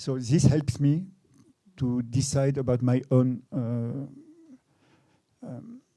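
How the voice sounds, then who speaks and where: Speaking with a French accent at a fairly slow pace, a man has a medium pitch, a dark, mellow tone and fairly even intonation. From France. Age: 60s. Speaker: photographer. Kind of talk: public talk interview. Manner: halting, many repetitions.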